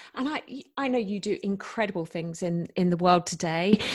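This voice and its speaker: Against a quiet background, a woman with a British accent is heard in a dry, close sound with no echo. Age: 40s. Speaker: podcast host. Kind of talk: interview.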